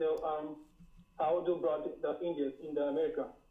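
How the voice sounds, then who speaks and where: Speaking at a moderate pace with a strong Caribbean accent, the voice shows ordinary pitch variation. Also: man. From Dutch Caribbean island. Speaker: caller. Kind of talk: casual chat. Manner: halting, many fillers and repeats.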